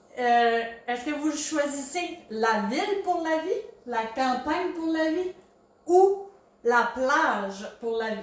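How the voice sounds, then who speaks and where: A woman's voice with very wide pitch swings, plus audible room echo and noticeable background noise. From Quebec, Gaspésie (Maria). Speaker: podcast host. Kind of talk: casual interview.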